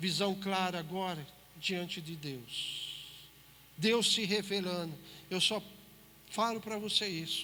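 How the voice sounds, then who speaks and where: Speaking at a very slow pace with long, frequent pauses, a man uses a raised, projected voice at a high pitch with ordinary pitch variation and audible room echo. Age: 60s. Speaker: preacher. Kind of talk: sermon. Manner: emphatic, addresses listeners directly.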